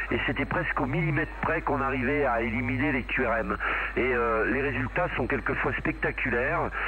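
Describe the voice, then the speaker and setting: Over noticeable background noise and audible room echo, a man talks at a moderate pace with very even loudness. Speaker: CB radio operator. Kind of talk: casual chat.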